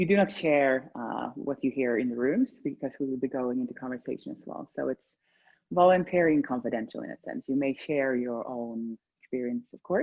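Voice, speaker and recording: A woman with a Swedish accent speaks in a very deep, low pitch with lively intonation. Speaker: embodiment session facilitator. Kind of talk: guided group session. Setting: video call. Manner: halting.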